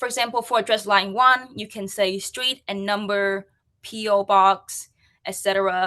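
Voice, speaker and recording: A woman with a Vietnamese accent, a bright, sharp tone, monotone, flat intonation, a moderate pace and big swings in loudness against a quiet background. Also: medium pitch for a woman. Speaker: UX and accessibility practitioner. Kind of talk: conference talk.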